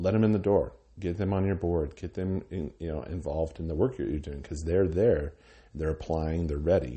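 Very deep and low in pitch, this man's somewhat breathy voice comes with an American accent. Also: ordinary pitch variation, moderate pace. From Wyoming, US (Cheyenne). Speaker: arts nonprofit director. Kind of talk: interview. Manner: halting, many fillers and repeated words.

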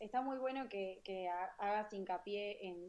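At a fairly slow pace, a medium-pitched woman speaks in a dark, mellow tone. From Argentina, small town. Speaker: podcast co-host. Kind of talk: live-streamed panel discussion.

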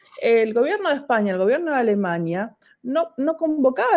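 A woman speaks in a Rioplatense accent with lively intonation. Her pace is fairly quick. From Argentina, La Plata. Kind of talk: interview conversation.

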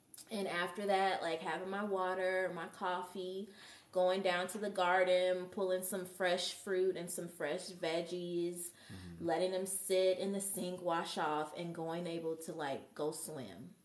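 A woman's medium-pitched voice, monotone and flat, at a fairly slow pace with hardly any pauses, in a room with audible echo. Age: 30s. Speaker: sound healer and massage therapist. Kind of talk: casual chat. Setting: live show with audience.

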